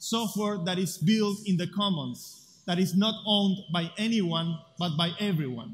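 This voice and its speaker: Speaking with an Argentine accent, a man talks at a fairly slow pace. His pitch is high, with ordinary variation. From Buenos Aires, Argentina. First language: Spanish. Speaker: tech activist speaker. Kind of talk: conference talk.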